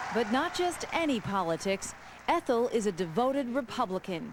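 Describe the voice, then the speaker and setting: Her intonation is lively, and she keeps a moderate pace. This woman has a plain, everyday voice, pitched fairly high. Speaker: TV news reporter. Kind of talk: TV news report narration.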